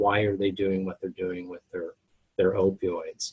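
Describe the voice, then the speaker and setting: A man talks in a somewhat breathy voice. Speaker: pharmacy professor presenting a webinar. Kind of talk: lecture. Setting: webinar. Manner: monotone.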